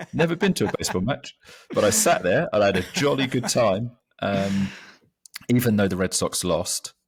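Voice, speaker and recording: A man with an English accent, at a moderate pace. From London, England. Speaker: magazine co-founder. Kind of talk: casual chat.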